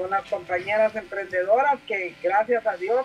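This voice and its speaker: There is noticeable background noise. A woman talks at a fairly high pitch. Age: 70s. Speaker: congresswoman. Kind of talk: interview.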